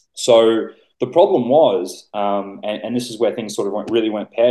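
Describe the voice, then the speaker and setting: With an Australian accent, a man speaks at a fairly quick pace, his medium pitch showing ordinary variation. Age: 20s. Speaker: bodybuilding coach. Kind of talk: casual chat.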